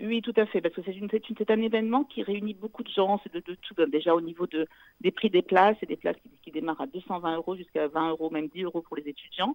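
Talking very fast at a medium pitch, a woman shows ordinary pitch variation and big swings in loudness. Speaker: charity event organizer. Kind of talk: radio interview. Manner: halting.

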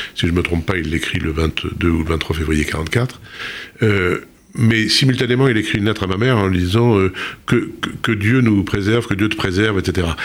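This man has a fairly low voice with ordinary pitch variation. He keeps a moderate pace and very even loudness. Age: 60s. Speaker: author. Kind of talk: interview. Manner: halting.

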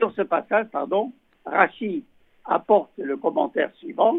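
His pitch rises and falls very widely. A man is talking at a fairly slow pace. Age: 80s+. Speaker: rabbi. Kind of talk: religious teaching. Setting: phone call.

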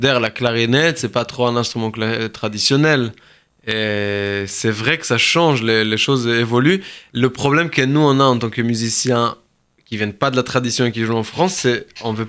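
At a moderate pace, a man with a Hebrew accent speaks at medium pitch with ordinary pitch variation, in a very clean recording with a silent background. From southern Israel, kibbutz. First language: Hebrew (speaking French). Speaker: musician and Yiddish teacher. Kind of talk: radio interview. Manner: hesitant, many fillers.

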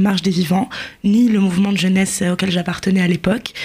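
A woman talks at a medium pitch in a monotone, flat intonation. Background noise is noticeable. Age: 20s. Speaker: journalist. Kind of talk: radio interview.

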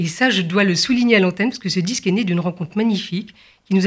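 A woman speaks at a very fast pace with a medium pitch and ordinary pitch variation, sounding somewhat breathy. The recording is very clean, with a silent background. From France, Paris area and Provence. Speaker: concert pianist. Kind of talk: radio interview.

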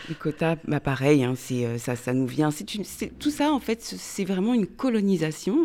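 A fairly low, dark, mellow female voice on a very clean recording with a silent background. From France. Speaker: author. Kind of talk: radio interview. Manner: halting.

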